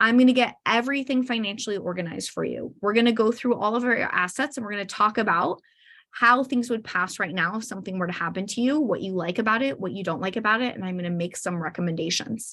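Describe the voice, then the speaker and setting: Her fairly high voice racing at a very fast pace with hardly any pauses, a woman speaks with ordinary pitch variation. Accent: American. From Arizona. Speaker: estate planning attorney. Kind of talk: webinar sales pitch.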